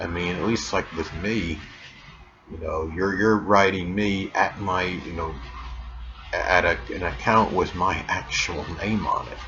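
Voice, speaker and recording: Fairly slow male speech amid noticeable background noise and audible room echo. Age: 50s. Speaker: YouTube astrology channel host. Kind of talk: casual monologue vlog. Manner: hesitant, many fillers.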